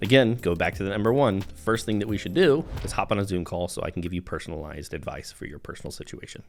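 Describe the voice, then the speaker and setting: A man's fairly low-pitched voice with an American accent, very fast pace, hardly any pauses, lively intonation and big swings in loudness. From US South. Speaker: real estate agent. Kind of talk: informal video talk to camera.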